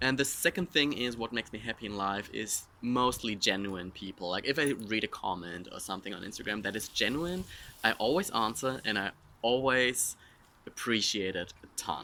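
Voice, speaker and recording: A man's bright, sharp voice at medium pitch, with a German accent, at a moderate pace. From Germany. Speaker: social media influencer. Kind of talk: casual Q&A vlog.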